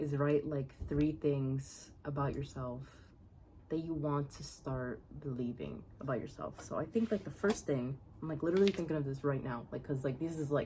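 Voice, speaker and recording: Her voice very deep and low, a woman speaks at a moderate pace with a dark, mellow, somewhat breathy tone and ordinary pitch variation. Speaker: video diary vlogger. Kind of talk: casual monologue. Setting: outdoors on a porch. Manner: halting.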